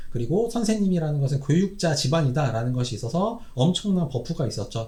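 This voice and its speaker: A somewhat breathy man with a dark, mellow tone and a fairly high pitch talks at a fairly quick pace with very wide pitch swings. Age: 40s. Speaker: Korean medicine doctor, YouTuber. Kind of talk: solo commentary monologue. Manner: casual, with frequent fillers and self-corrections.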